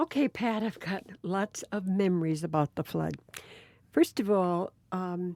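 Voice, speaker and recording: At a fairly slow pace, a woman with an American accent speaks at a medium pitch with ordinary pitch variation and a dark, mellow tone, in a dry, close sound with no echo on a very clean recording with a silent background. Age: 70s. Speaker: retired teacher. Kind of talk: oral history interview. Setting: recorded interview with sister.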